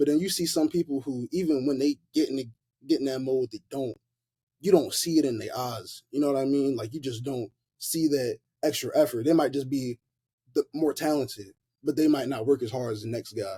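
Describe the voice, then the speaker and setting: A man with an American accent speaks at a fairly quick pace in a dark, mellow, somewhat breathy tone with ordinary pitch variation, recorded in a dry, close sound with no echo. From US South, Memphis, Tennessee. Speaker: college football player. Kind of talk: casual chat. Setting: podcast interview. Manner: casual, filler-heavy speech.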